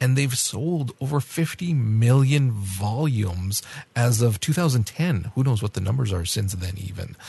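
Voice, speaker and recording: Somewhat breathy and dark, mellow in tone, a man's medium-pitched voice moves at a fairly slow pace with lively intonation. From France. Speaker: podcast co-host reviewing anime. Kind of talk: casual review discussion.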